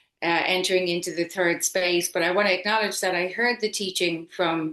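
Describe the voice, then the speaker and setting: In an Irish accent, a woman with a bright, sharp tone talks at a fairly low pitch for a woman, with fairly even intonation and a moderate pace. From Ireland. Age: 50s. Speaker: yoga teacher. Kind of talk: casual chat.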